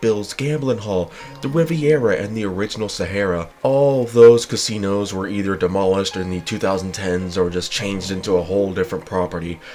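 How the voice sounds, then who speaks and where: A man with an American accent talks at a fairly quick pace in a fairly low pitch with ordinary pitch variation. Music plays in the background. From Nevada, Las Vegas. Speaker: history video creator. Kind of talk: scripted narration.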